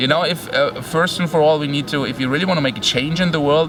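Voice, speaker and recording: Very fast speech with ordinary pitch variation amid noticeable background noise. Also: man. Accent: German. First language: German. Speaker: online entrepreneur and family man. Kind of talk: casual interview.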